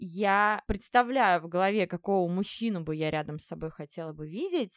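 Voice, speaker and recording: A woman with a plain, everyday voice speaks at a medium pitch and a moderate pace with ordinary pitch variation, on a very clean recording with a silent background. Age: 30s. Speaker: coffee shop owner, former makeover show participant. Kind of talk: casual interview.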